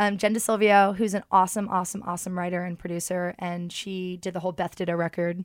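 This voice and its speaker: A woman speaks in a medium pitch at a very fast pace with hardly any pauses. The recording is very clean, with a silent background. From London. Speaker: musician and record label founder. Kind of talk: casual interview chat. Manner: animated.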